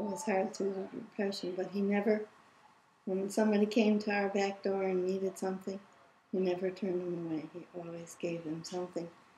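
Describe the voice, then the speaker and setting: Over noticeable background noise, a woman talks at a fairly quick pace in a monotone, flat intonation at medium pitch. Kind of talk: interview answer.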